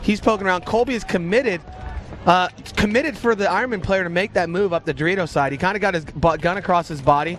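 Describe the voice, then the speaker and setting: A man with a high voice talks at a very fast pace in an animated tone, with noticeable background noise behind him. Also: ordinary pitch variation. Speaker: paintball commentator and former player. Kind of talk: live commentary. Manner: stuttering at times.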